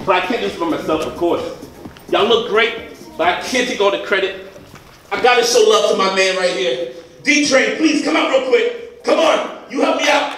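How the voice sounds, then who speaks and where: Lively intonation marks this moderate-paced speech, which has long, frequent pauses and audible room echo. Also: man. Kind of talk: comedic skit performance. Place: stage. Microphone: camera far.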